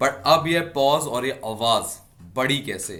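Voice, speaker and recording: The man speaks with ordinary pitch variation. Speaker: defence exam coach and YouTuber. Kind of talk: casual interview.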